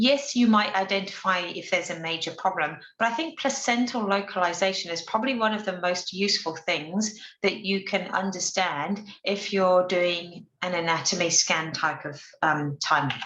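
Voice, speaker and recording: A woman at medium pitch speaks with a bright, sharp tone and ordinary pitch variation, with hardly any pauses. Audible room echo is present. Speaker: obstetrician presenting a webinar. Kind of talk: lecture. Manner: fast.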